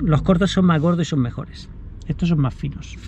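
The voice has ordinary pitch variation and a dry sound with no echo, with light background noise. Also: man. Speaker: runner vlogger. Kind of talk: casual vlog chat. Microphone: phone near.

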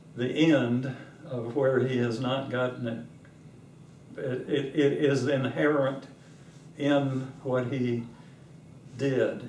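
A very slow man's voice, monotone and flat, with audible room echo and light background noise. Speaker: interviewee. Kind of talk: interview answer. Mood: warm, amused, reflective. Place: home room.

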